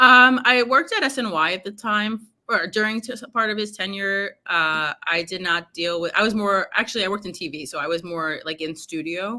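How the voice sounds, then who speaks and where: A woman with a New York accent speaks at a moderate pace with hardly any pauses. Her pitch is medium and her tone is bright and sharp. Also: ordinary pitch variation. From New York, Brooklyn. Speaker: sports journalist. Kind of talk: casual chat. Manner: hesitant, many fillers.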